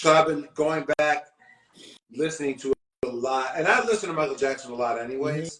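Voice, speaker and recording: A man with an American accent and a normal speaking voice talks at a fairly quick pace. His pitch is fairly high, with ordinary variation. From US Midwest, Columbus Ohio. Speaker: singer in a music duo. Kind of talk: casual interview chat.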